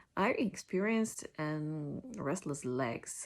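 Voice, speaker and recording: In a Polish accent, a woman speaks at a fairly low pitch with lively intonation. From Poland. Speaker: patient sharing illness story. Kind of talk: personal testimony. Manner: halting, many fillers and restarts.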